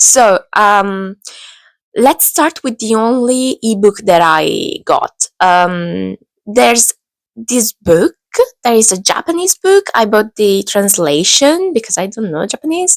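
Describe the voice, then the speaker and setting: Speaking at a very slow pace, a woman uses a fairly high pitch with very wide pitch swings, in a dry, close sound with no echo. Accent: Italian. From Italy. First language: Italian. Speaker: book vlogger. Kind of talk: casual book haul talk to camera. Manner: hesitant, many fillers.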